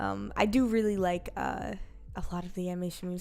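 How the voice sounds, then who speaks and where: A woman's lively intonation rises and falls while music plays in the background. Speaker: streamer and animator. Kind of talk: casual livestream chat. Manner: halting, stumbling over words.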